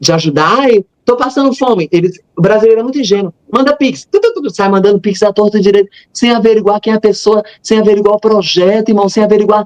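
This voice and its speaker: At a fairly quick pace, a man speaks with high pitch in a dry, close sound with no echo. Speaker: missionary and religious youtuber. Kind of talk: interview testimony. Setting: live stream. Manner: fast.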